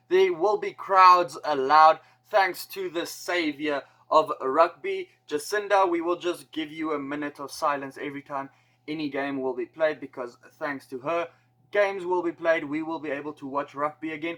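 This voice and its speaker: With a bright, sharp tone, a man talks at a fairly high pitch, his intonation fairly even but his loudness swinging widely. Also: moderate pace. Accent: South African. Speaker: rugby YouTuber. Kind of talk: casual explainer video. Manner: casual.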